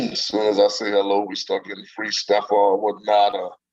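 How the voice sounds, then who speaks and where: Over music in the background, a man talks at a moderate pace with a fairly low pitch and fairly even intonation. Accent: New Orleans. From US South, New Orleans. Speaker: singer and saxophonist. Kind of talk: interview. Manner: charming.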